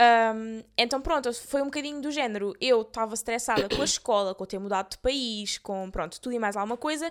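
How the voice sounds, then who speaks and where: A woman with an unremarkable speaking voice talks at a fairly quick pace with hardly any pauses, her fairly high pitch showing ordinary variation. The recording is very clean, with a silent background. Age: 20s. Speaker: podcast co-host. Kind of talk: casual chat.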